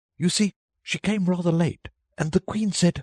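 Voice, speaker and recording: A middle pitch carries this put-on character voice. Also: moderate pace. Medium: read story. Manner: timid, nervous.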